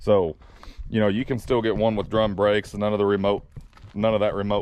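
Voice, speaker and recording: A man talks at a fairly quick pace with a Southern accent. His pitch sits fairly low. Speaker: truck driver vlogger. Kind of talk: casual vlog talk.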